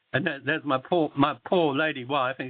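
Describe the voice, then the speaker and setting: The speaker talks at a very fast pace with an Australian accent. Pitch variation is ordinary. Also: man. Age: 70s. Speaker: political candidate. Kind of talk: phone interview. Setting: phone call. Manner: halting.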